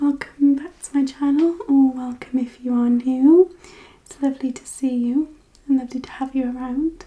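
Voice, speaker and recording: Soft-spoken and gentle in tone, a woman with a high pitch talks with fairly even intonation. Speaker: ASMR creator. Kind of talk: ASMR makeup tutorial, casual talk to camera. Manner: softly spoken, gentle, relaxing.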